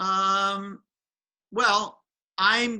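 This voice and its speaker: The voice is raised and projected, with a bright, sharp tone. It carries an American accent and fairly even intonation. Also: man. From Philadelphia, US. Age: 70s. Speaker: education author and speaker. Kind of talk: interview.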